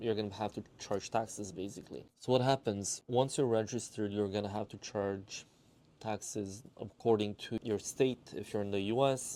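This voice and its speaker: Delivered at a moderate pace with a Romanian accent, the voice has a dark, mellow tone and fairly even intonation. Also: man. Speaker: watch dealer and collector. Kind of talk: casual explainer monologue.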